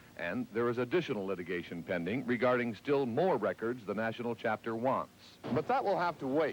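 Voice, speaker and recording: A man talks at a fairly quick pace in a medium pitch with lively intonation. He uses an ordinary speaking voice. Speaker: TV news reporter. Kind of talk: TV news report voiceover.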